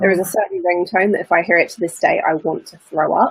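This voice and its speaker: The sound is dry and close with no echo as a woman speaks very fast. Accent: British. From UK. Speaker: mentor, former lawyer. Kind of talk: interview.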